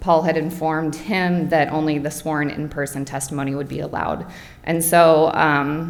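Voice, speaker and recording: Over audible room echo, a woman with a very deep, low voice speaks at a moderate pace. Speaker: homeowner applicant at zoning hearing. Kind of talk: public hearing testimony. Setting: public meeting room. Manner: halting.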